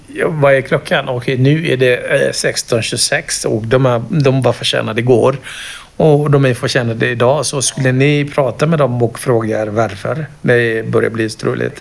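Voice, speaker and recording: Over noticeable background noise, a man with a non-native accent speaks at a moderate pace, his medium pitch following a fairly even intonation. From Kenya. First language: not Swedish (speaking Swedish). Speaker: project ambassador, parent sharing mental health experience. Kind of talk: interview testimony. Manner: halting, with fillers.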